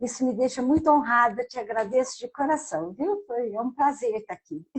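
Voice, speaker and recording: A woman with a high pitch and lively intonation talks at a moderate pace. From Brazil, southern Minas Gerais. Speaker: psychologist and author. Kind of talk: interview.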